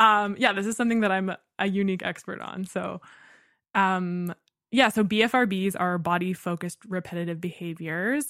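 A woman at a medium pitch speaks in an ordinary speaking voice at a moderate pace with ordinary pitch variation, on a very clean recording with a silent background. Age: 20s. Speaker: voice student and painter. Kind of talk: casual chat.

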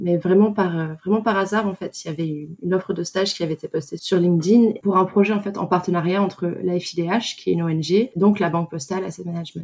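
A woman with an ordinary speaking voice talks at a moderate pace, fairly low in pitch and with fairly even intonation. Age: 20s. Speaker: socially responsible investment analyst. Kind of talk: testimony.

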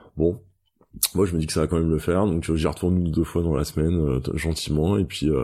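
Here a man with a very deep, low voice and a dark, mellow tone speaks very fast. His intonation stays fairly even against a quiet background. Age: 30s. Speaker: sports retail buyer, cancer survivor and runner. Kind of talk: interview testimony. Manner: halting, many hesitations and repetitions.

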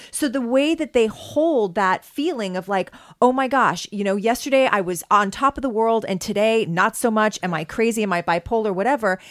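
A woman with a Canadian accent talks at a moderate pace in an ordinary speaking voice, fairly high in pitch with lively intonation and hardly any pauses. The recording is very clean, with a silent background. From Canada, prairies. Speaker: podcast co-host. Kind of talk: casual chat.

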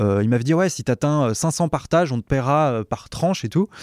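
In a very clean recording with a silent background and a dry, close sound with no echo, a man with a normal speaking voice talks at a fairly slow pace with lively intonation. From French mountain region. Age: 30s. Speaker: comedian and writer. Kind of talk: casual chat.

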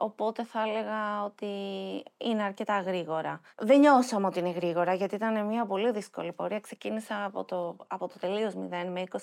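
A woman speaks at a moderate pace in a plain, everyday voice, on a very clean recording with a silent background. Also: big swings in loudness. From Athens, Greece. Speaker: nonprofit founder. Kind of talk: interview.

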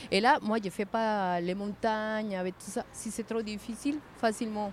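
A woman speaks at a very slow pace. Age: 50s. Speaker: passerby, cycling traveller. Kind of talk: casual chat. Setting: outdoors.

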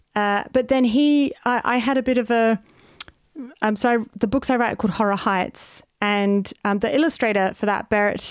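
A woman's fairly high voice with an Australian accent, ordinary pitch variation and a moderate pace. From Australia (Adelaide). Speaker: comedian. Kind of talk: casual chat. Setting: video call.

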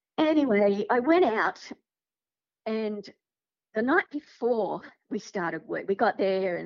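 A woman with an Australian accent and a fairly high pitch, with very wide pitch swings and long, frequent pauses. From Sydney, Australia. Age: 50s. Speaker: podcast guest sharing paranormal experiences. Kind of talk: casual interview storytelling.

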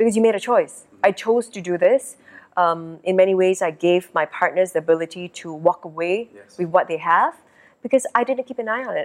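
A woman speaks at a fairly quick pace with an ordinary speaking voice, medium pitch and ordinary pitch variation. Her loudness swings widely, and the sound is dry and close with no echo. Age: 40s. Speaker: theatre director and entrepreneur. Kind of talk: interview.

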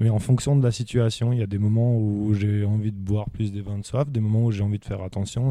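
Over a silent background in a very clean recording, a man speaks at a fairly quick pace with a fairly low pitch, a dark, mellow tone and fairly even intonation. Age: 30s. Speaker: winemaker. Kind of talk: casual interview.

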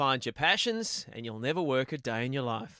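A man with an Australian accent, bright, sharp tone and lively intonation, in a very clean recording with a silent background and a dry, close sound with no echo. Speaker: TV host and podcast interviewer. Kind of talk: interview conversation; scripted outro.

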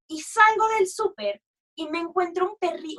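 A woman projects a raised voice with a bright, sharp tone. She sounds animated and keeps a moderate pace. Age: 30s. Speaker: musical theatre actress and dog rescuer. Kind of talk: casual chat.

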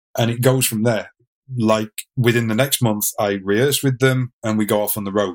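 A man with an English accent, a fairly quick pace and ordinary pitch variation. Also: dry, close sound with no echo. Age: 40s. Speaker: drummer and fitness instructor. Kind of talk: interview storytelling.

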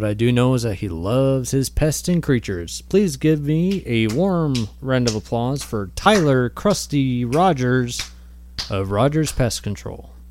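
At a fairly slow pace, a man with a normal speaking voice and medium pitch talks with lively intonation. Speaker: fictional radio host, comedy podcast.

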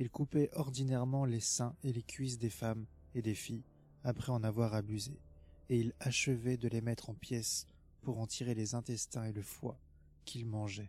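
A man with a dark, mellow tone talks in a somewhat breathy voice, keeping a moderate pace and fairly even intonation. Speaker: intro announcer and reader of quoted passages. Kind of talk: scripted reading of quotes.

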